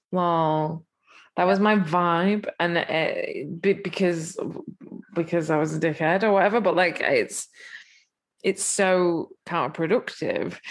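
Speaking at a very slow pace in an English accent, a woman with a fairly low pitch keeps her loudness very even and her intonation fairly even, recorded very cleanly over a silent background. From England. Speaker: musician. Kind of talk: casual chat.

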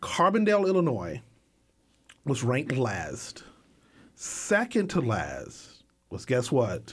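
A man at medium pitch with vocal fry, very wide pitch swings, a very slow pace and long, frequent pauses. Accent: American. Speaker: filmmaker. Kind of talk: casual interview. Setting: studio.

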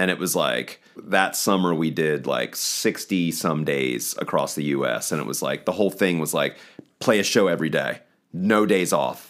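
With a Mid-Atlantic American accent, a man with a very deep, low pitch and vocal fry talks at a moderate pace with ordinary pitch variation. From eastern shore of Maryland. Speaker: rock band guitarist. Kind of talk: casual interview.

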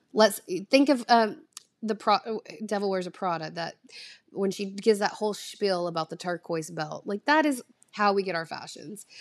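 In a Southern US accent, the voice moves at a moderate pace with big swings in loudness, in a very clean, dry, close recording with a silent background and no echo. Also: woman, medium pitch for a woman, ordinary pitch variation. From US South. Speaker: content creator. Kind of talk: casual solo podcast monologue. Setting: home recording at a screen, no proper mic. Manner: rambling, chatty, laughs often.

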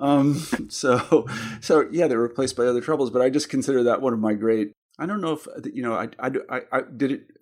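This man has an ordinary speaking voice with an American accent, a medium pitch, ordinary pitch variation, and a fairly quick pace. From Kansas. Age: 50s. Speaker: podcast host and editor. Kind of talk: interview. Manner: conversational, laughs often.

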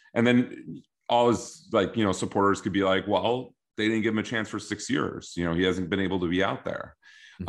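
A man talks at a fairly quick pace with fairly even intonation. He has a normal speaking voice. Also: quiet background. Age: 30s. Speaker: fantasy football podcast co-host. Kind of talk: casual chat.

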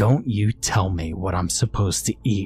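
Over clear background noise, a man does a put-on character voice with a fairly low pitch and a menacing tone, hissing at a moderate pace, the sound dry and close with no echo. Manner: hissing, menacing.

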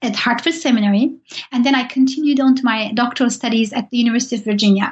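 High pitch from a woman, her pitch varying in an ordinary way. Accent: Turkish. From Turkey. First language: Turkish. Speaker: professor. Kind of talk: interview. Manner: halting.

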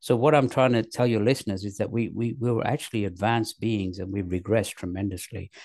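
A man holds a fairly low pitch with fairly even intonation. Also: quiet background. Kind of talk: casual chat. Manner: repetitive, hesitant.

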